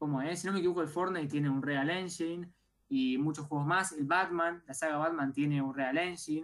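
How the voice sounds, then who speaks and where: This woman's very deep, low pitch carries fairly even intonation at a fairly quick pace. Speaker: radio co-host, tech and gaming segment. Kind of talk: live radio show.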